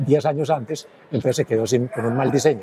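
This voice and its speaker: With ordinary pitch variation, a man talks at a very fast pace. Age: 80s+. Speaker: engineer, former city official. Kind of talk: interview.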